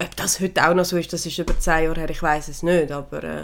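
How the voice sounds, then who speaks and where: A woman speaks with a fairly low pitch. Vocal fry runs through her voice. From Switzerland. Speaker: podcast co-host, horse owner. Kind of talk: casual chat.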